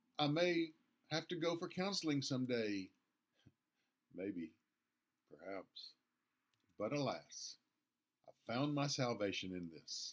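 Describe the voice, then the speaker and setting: A man's fairly high voice with very wide pitch swings, a fairly slow pace and long, frequent pauses. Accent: Southern. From US South, Nashville, Tennessee. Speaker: pastor. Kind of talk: devotional talk.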